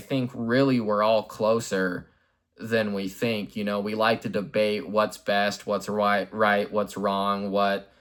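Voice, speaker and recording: A man's fairly low voice at a fairly slow pace, in a very clean recording with a silent background. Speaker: YouTube channel host, Batman fan commentator. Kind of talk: unscripted monologue.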